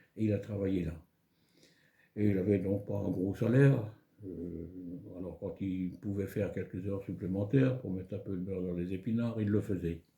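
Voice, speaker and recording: A man speaks at a moderate pace in a fairly low pitch. His voice is somewhat breathy, with fairly even intonation. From France, Moselle (Lorraine). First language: German (speaking French). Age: 80s+. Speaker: elderly local resident. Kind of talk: life story interview.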